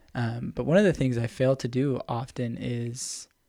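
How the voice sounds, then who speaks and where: This man has an ordinary speaking voice, pitched in the medium range, moving at a fairly slow pace with fairly even intonation. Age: 20s. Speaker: podcast co-host. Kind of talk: casual chat.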